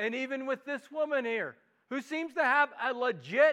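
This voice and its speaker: A man projects a raised voice at an extremely high pitch with a Midwestern accent and ordinary pitch variation. His tone is bright and sharp on a very clean recording with a silent background. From US Midwest. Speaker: pastor. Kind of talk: sermon. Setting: church.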